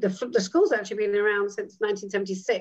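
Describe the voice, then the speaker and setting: Someone speaks with a British accent over a quiet background. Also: woman. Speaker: midwife, actress and educator; dean of student life. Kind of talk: interview answer. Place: home room. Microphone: video call.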